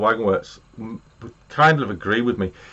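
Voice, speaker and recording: This man talks at a fairly slow pace. He has an English accent. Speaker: model railway YouTuber. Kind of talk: live stream chat. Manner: loud.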